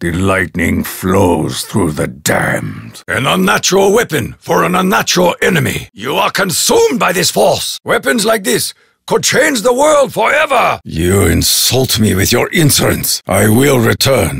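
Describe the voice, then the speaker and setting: A man in a put-on character voice, fairly high in pitch, at a moderate pace. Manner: formal, solemn.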